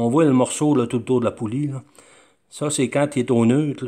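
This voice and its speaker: Against a quiet background, a man speaks with a Quebec accent. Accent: Québécois French. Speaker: DIY hobbyist. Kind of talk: show-and-tell tutorial. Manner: halting, many fillers. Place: workshop. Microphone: phone near.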